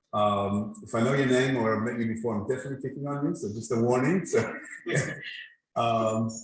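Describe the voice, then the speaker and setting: Medium-pitched male speech at a fairly quick pace, with ordinary pitch variation and audible room echo. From mixed: born in Israel, Brazilian parents, lived in Singapore, Australia, UAE. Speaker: design presenter at meetup. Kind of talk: presentation to audience. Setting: event venue with live and online audience. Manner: conversational, with fillers.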